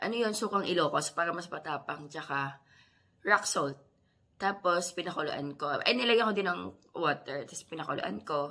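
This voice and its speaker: Lively intonation from a woman with a fairly low pitch and a bright, sharp tone, at a moderate pace. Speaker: mommy vlogger. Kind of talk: casual vlog talk.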